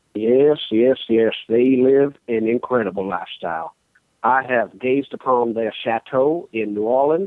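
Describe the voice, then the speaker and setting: This speaker talks at a fairly slow pace with a Southern US accent. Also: man, medium pitch for a man, ordinary pitch variation. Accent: Southern US, exaggerated drawl. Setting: phone call. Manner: formal, courtly, flowery.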